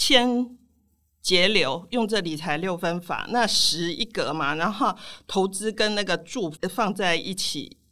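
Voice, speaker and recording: Bright and sharp in tone, the voice moves at a very slow pace with lively intonation on a very clean recording with a silent background. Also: woman. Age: 60s. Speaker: personal finance author. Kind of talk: interview.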